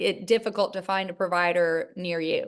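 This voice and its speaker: A woman with a Charleston accent, fairly slow in pace, with ordinary pitch variation. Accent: Southern US, Charleston. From US South, Charleston, South Carolina. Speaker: gynecologist. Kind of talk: interview. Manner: halting, many fillers.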